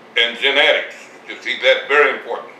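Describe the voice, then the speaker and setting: Noticeable background noise and audible room echo fill the recording. Through it, a man talks at a fairly quick pace. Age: 80s+. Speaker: retired farmer. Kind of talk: interview. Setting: at home. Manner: halting.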